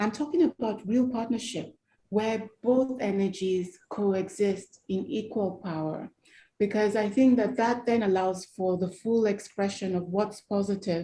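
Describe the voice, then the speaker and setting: Somewhat breathy and dark, mellow in tone, a woman speaks at a fairly slow pace with medium pitch and ordinary pitch variation on a very clean recording with a silent background. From Nigeria. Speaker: human rights campaigner. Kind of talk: interview.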